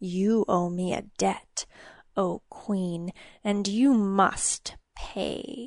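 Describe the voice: Delivered very slowly, a female-sounding put-on character voice at medium pitch comes with hissing.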